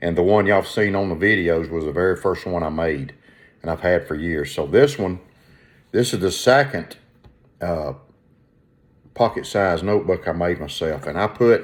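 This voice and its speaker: A moderate pace with ordinary pitch variation and long, frequent pauses. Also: man, very deep, low pitch for a man. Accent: Southern US. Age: 60s. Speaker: leathercraft and collecting vlogger. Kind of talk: casual show-and-tell vlog. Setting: at home, windows open. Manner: halting, many repetitions and fillers.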